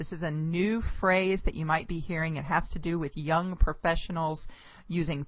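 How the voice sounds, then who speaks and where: A woman with a normal speaking voice talks at a moderate pace. Her pitch is fairly low and her intonation fairly even. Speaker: charity auctioneer. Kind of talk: casual talk to camera.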